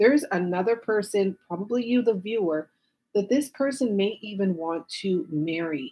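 A woman talks at a fairly slow pace. Her voice is somewhat breathy. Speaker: tarot reader. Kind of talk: tarot reading commentary to viewers. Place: home room.

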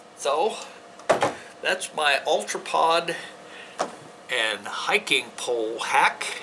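A man speaks at a very slow pace over noticeable background noise. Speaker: outdoor gear video host. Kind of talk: tutorial. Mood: relaxed, friendly. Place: home room.

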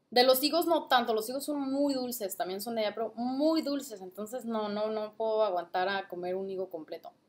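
A woman talks at a fairly quick pace with hardly any pauses. Her fairly high voice has lively intonation. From Mexico, Guadalajara, Jalisco. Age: 20s. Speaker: vlogger and trader; vlogger. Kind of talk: casual product review vlog. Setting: at home, late at night. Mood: cheerful, playful. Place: home room. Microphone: webcam.

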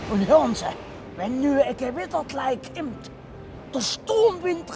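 Against loud background noise, a man with a Saxon accent speaks at a very slow pace in a dry sound with no echo. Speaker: presenter and performer. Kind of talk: comic dialect monologue. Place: open country.

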